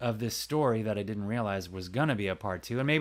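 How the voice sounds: Natural reading voice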